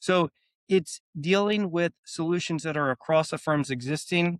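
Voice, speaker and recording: Talking at a fairly slow pace in a Philadelphia accent, a man with a fairly high pitch and ordinary pitch variation is captured as a dry, close sound with no echo on a very clean recording with a silent background. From US Northeast, Philadelphia. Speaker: AI software company executive. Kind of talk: podcast interview.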